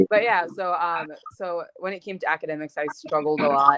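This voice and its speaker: At a moderate pace, a woman with a slight Gambian accent speaks in a fairly low pitch. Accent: American English with slight Gambian trace. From Gambia, moved to US at seventh grade. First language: Mandinka. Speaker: activist and college student. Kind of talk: interview. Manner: casual, with many fillers.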